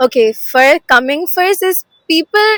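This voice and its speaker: A woman's bright, sharp voice swings very widely in pitch, recorded with a dry, close sound and no echo. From Assam, India. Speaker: student. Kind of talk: interview testimony.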